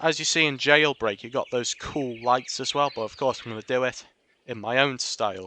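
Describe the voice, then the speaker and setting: Speaking at a fairly slow pace, a man with a bright, sharp tone keeps a medium pitch and ordinary pitch variation. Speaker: gaming video creator. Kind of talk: tutorial. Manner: casual, filler-heavy narration.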